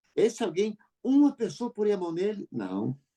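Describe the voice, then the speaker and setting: A man talks at a fairly slow pace with lively intonation. His voice sits high for a man and has a dark, mellow tone. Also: dry, close sound with no echo. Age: 60s. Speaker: radio host. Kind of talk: casual chat.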